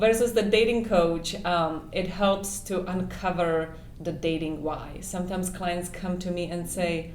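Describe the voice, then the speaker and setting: Noticeable background noise and audible room echo fill the recording. A woman speaks at a fairly low pitch. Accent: non-native. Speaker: dating coach and matchmaker. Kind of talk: interview. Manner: hesitant, many fillers.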